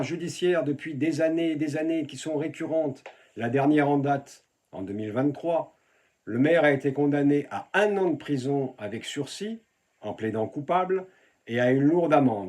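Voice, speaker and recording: This man has an ordinary speaking voice with fairly high pitch. He moves at a moderate pace with ordinary pitch variation. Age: 60s. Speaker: local election candidate. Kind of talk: political campaign address.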